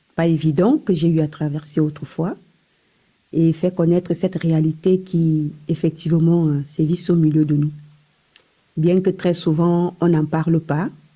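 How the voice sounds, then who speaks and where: A woman speaks fairly slowly with long, frequent pauses and very even loudness. Her fairly low, dark, mellow voice is somewhat breathy and stays monotone and flat. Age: 40s. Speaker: hospital worker sharing testimony. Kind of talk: testimony.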